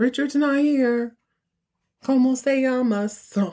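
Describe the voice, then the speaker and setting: In a put-on character voice, a female-sounding speaker talks high in pitch for a woman and at a fairly slow pace. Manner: clumsy, badly pronounced.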